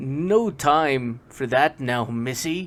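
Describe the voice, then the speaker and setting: A man performs a put-on character voice at a medium pitch. The recording is very clean, with a silent background. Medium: read story. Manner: nervous, excitable.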